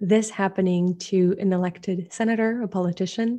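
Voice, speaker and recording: With a French accent and a dark, mellow tone, a woman of medium pitch speaks at a moderate pace with fairly even intonation against a quiet background. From France. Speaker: disinformation researcher. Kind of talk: interview.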